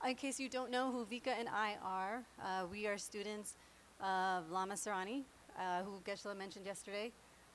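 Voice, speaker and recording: A woman speaks with an American accent at a medium pitch. Her pace is fairly quick and her intonation fairly even. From New York. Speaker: meditation class teacher. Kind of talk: class instruction. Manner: fast.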